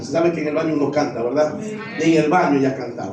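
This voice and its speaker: Noticeable background noise and audible room echo fill the clip. The pitch varies in an ordinary way. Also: man. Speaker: pastor. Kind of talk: sermon.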